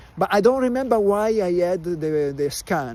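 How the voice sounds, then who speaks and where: A man with an Italian accent talks at a high pitch, his voice swinging very widely in pitch. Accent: Italian accent, listeners remark on it. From Italy. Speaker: vlogger. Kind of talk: casual live stream chat. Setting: outdoors in a park. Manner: slow, halting with many fillers.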